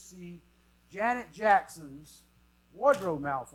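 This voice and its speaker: The man speaks in an animated tone. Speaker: conference speaker on marketing. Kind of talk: conference talk. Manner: fast.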